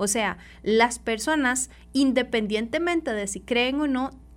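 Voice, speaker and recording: On a very clean recording with a silent background, a woman speaks at a fairly high pitch with very wide pitch swings. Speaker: social worker. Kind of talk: radio interview. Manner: halting.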